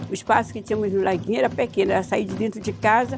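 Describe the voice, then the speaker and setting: A woman's medium-pitched voice with ordinary pitch variation and music in the background. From Macapá, Amapá, northern Brazil. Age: 70s. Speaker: storyteller and community elder. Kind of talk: documentary interview.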